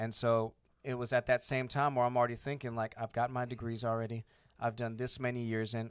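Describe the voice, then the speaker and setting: A man with an American accent uses an ordinary speaking voice at medium pitch and a fairly quick pace, recorded very clean against a silent background with a dry, close sound and no echo. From Arizona, US (born Panama, military family). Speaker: air force veteran and business owner. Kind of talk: casual chat. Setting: studio.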